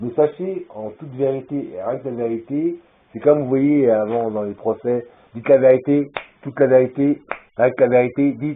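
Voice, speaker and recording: A man at a moderate pace, his pitch medium. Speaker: vlogger. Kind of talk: rambling video monologue. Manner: loud; halting.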